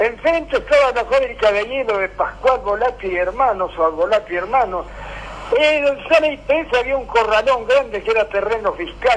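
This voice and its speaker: There is noticeable background noise as a man speaks at an extremely high pitch, moderate pace and with lively intonation. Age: old. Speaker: local historian and radio collaborator. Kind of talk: casual radio chat and reminiscence. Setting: radio program.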